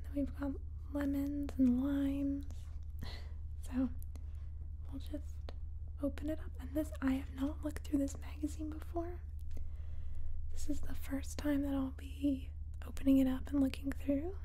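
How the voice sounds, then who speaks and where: A woman talks at a moderate pace, leaving long, frequent pauses. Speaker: ASMR creator. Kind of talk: soft-spoken ASMR chat. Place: home room.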